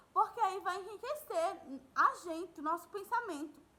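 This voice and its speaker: A woman with a raised, projected voice speaks in a warm yet bright, sharp tone with lively intonation. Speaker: school teacher. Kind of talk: recorded online lesson. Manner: warm, conversational.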